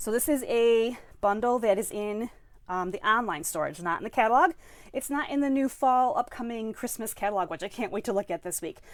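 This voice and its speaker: Lively intonation and a fairly high pitch mark this woman's voice. She talks at a fairly quick pace on a very clean recording with a silent background. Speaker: stamping and card-making demonstrator. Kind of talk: live-streamed craft class. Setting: live stream at home workspace. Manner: fast; animated.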